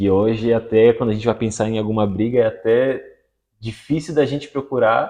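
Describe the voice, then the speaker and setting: A man's fairly quick speech with fairly even intonation. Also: medium pitch for a man. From Florianópolis, Santa Catarina, Brazil. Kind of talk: casual interview chat. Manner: fast.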